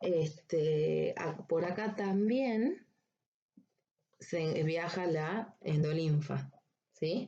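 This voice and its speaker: A woman's somewhat breathy voice, dark and mellow, fairly low in pitch with ordinary pitch variation, at a very slow pace with long, frequent pauses. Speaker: veterinary anatomy lecturer. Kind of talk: recorded lecture. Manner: slow, deliberate.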